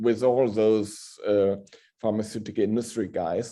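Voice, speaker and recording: Against a quiet background, a man speaks at a medium pitch. His tone is dark and mellow. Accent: German. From northern Germany. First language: German. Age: middle-aged. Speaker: hospital pharmacist. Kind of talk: Q&A after a lecture.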